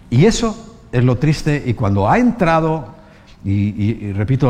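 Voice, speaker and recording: A man's somewhat breathy voice, dark and mellow in tone, moves at a fairly slow pace. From Spain. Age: 60s. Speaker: pastor. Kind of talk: sermon.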